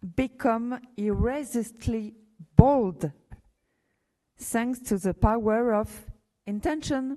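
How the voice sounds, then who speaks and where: A woman with a French accent speaks very slowly in a high pitch and a dark, mellow tone, with ordinary pitch variation and long, frequent pauses. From France. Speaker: university official. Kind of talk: commencement speech. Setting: graduation ceremony hall with audience. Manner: halting, with fillers.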